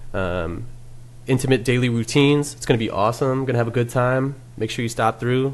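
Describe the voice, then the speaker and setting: An ordinary speaking voice moves at a fairly quick pace. Its pitch varies in an ordinary way. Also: man. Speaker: podcast host. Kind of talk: casual chat.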